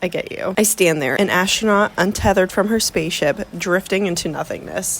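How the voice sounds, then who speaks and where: This woman is soft-spoken. She talks at a fairly quick pace. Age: 20s. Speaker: book vlogger. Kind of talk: casual vlog talk. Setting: vacation room.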